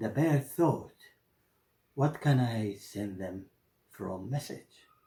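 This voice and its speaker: A man speaks very slowly at a medium pitch with lively intonation. His tone is dark and mellow and somewhat breathy. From Iraq. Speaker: actor, storyteller. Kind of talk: children's story reading.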